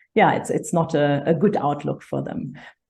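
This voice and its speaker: With a German accent, a woman speaks in a very deep, low pitch and a dark, mellow tone. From Germany. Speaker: conservation charity director. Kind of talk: interview.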